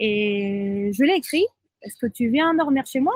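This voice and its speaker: With a Spanish accent, a woman speaks in a high pitch with lively intonation, the sound dry and close with no echo. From southern Spain. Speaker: friend of a person with bipolar disorder. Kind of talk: podcast interview, personal testimony. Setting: outdoors by the sea in Thailand.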